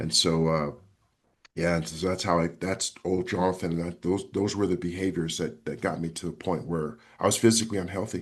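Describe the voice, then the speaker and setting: A man's very deep, low voice at a fairly quick pace, with ordinary pitch variation over a quiet background. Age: 50s. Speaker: author and health coach. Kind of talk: interview. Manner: halting, with many repetitions.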